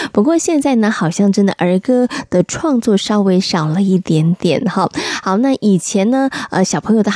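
Against noticeable background noise, a woman speaks at medium pitch with lively intonation and a moderate pace. The sound is dry and close, with no echo. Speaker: radio host. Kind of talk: radio show chat.

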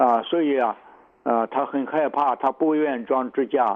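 A man talks at a very slow pace. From China, southern Shandong. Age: 80s+. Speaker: traditional Chinese medicine doctor. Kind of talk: radio interview. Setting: phone call. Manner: halting, many filler sounds.

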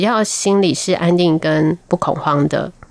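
In an unremarkable speaking voice with fairly low pitch, a woman speaks with lively intonation. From Taiwan, military dependents' village. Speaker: nutrition professor. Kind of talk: radio interview.

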